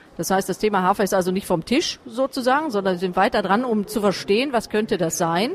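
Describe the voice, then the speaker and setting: A woman's moderately paced speech, with ordinary pitch variation, comes through noticeable background noise. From Essen, Ruhr area. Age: 40s. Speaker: chair of a patient association. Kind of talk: interview. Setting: side room at a trade fair.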